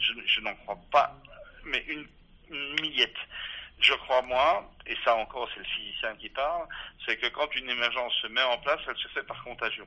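Long, frequent pauses run through a man's medium-pitched speech. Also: ordinary pitch variation, moderate pace. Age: 60s. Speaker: physicist and philosopher, author. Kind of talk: interview. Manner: halting, many repetitions.

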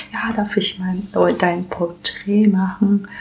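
Over noticeable background noise, a woman with a Japanese accent speaks at a medium pitch. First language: Japanese (speaking German). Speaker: illustrator and comic artist. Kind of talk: casual interview. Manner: halting, with many fillers.

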